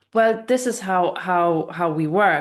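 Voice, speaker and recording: A woman speaks with a non-native accent. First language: not English. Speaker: spiritual channeler. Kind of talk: casual interview chat.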